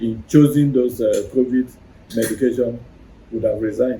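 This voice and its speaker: Somewhat breathy and dark, mellow in tone, a man's voice sits at medium pitch and moves at a moderate pace. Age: 60s. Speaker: herbal medicine doctor and researcher. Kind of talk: interview. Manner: halting.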